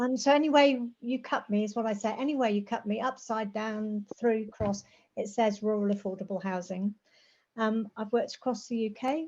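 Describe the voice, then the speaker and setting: A woman speaks at a fairly high pitch and a moderate pace, sounding somewhat breathy. Her pitch varies in an ordinary way against a quiet background. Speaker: rural housing campaigner and planner. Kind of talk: presentation.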